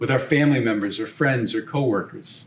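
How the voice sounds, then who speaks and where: In a Boston accent, a man speaks in a fairly high, somewhat breathy voice with ordinary pitch variation. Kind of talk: homily.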